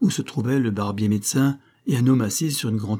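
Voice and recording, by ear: The voice is reading aloud in a natural voice. Its pitch varies in an ordinary way.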